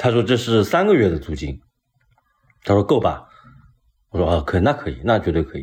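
With vocal fry and a fairly low pitch, a man talks at a fairly quick pace, his pitch swinging very widely between long, frequent pauses. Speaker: painter. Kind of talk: casual chat. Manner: animated.

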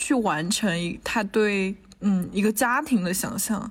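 In a very clean recording with a silent background, a woman speaks at a fairly high pitch in a somewhat breathy voice. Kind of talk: casual chat. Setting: university building lobby during lockdown.

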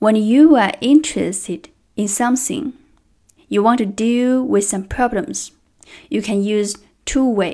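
A woman with a Chinese accent speaks at a fairly slow pace with long, frequent pauses. Her fairly high pitch has ordinary variation and a dark, mellow tone, in a very clean recording with a silent background. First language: Mandarin Chinese. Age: 30s. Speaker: trainer. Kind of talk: prepared speech.

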